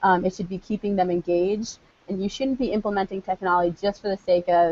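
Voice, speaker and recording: A woman's very fast speech, dry with no echo. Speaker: PE teacher presenting on technology. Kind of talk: online conference presentation. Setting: live video broadcast with screen share. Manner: energetic. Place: classroom. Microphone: earbuds.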